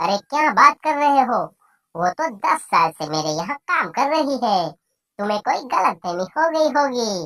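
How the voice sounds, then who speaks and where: A cartoonish character voice, female-sounding and fairly high, with very wide pitch swings at a moderate pace. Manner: falsely friendly, then mocking.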